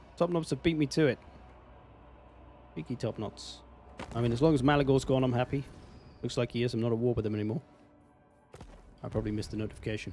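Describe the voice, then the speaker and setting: Music plays behind a man of medium pitch who talks at a very fast pace with ordinary pitch variation and long, frequent pauses. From England. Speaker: video game streamer. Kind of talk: live gameplay commentary. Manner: casual, conversational.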